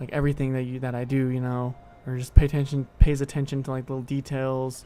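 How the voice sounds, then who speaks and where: A man speaks at a moderate pace. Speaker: gaming streamer. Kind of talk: casual chat. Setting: live stream. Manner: quieter than usual; halting, many repetitions.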